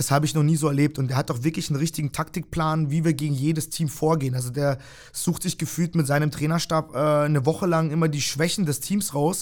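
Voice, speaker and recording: On a very clean recording with a silent background, a man talks very fast at a fairly high pitch, keeping his loudness very even and his intonation fairly even. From Germany (Freiburg, Breisgau), born in Kyrgyzstan. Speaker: volleyball team manager. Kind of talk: casual interview. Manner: hesitant, many fillers.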